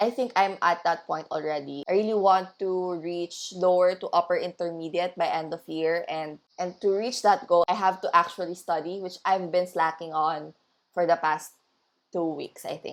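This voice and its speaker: Speaking with a Filipino accent, a woman has a fairly low pitch. Her intonation remains fairly even. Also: moderate pace. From Philippines. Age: 20s. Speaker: language learning vlogger. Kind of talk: study vlog narration.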